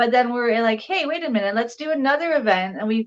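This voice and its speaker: The speaker has a Canadian accent. Pitch varies in an ordinary way. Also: woman. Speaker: entrepreneur and legal services advocate. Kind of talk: casual interview chat. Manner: fast.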